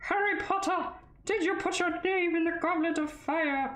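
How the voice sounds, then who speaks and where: At a moderate pace, a put-on character voice speaks at an extremely high pitch with a slight echo. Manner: urgent, questioning.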